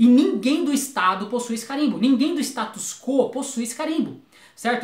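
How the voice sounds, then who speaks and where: The speaker talks at a fairly quick pace with lively intonation. Room echo is audible, and there is noticeable background noise. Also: man. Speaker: YouTuber, philosophy commentator. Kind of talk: video commentary monologue. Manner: fast; halting, with stammers and restarts.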